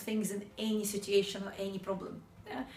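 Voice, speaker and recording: A woman's fairly quick speech with audible room echo and noticeable background noise. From Ukraine. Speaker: sales trainer. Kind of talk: motivational talk.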